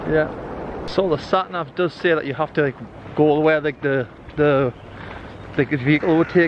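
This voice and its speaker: A man's voice, showing ordinary pitch variation, sounds dry with no echo while noticeable background noise plays behind it. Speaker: family travel vlogger. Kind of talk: casual vlog chat. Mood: cheerful, relaxed. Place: open country. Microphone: phone near.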